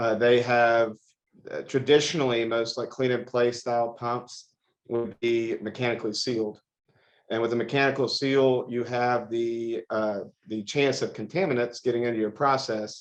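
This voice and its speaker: With an American accent, a man speaks at medium pitch and a moderate pace in monotone, flat intonation. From Texas, Houston. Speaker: industrial equipment company co-owner. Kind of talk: interview.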